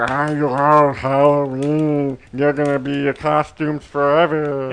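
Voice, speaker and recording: A man puts on a character voice with a fairly high pitch. He speaks at a fairly slow pace with flat, monotone intonation. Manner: creepy.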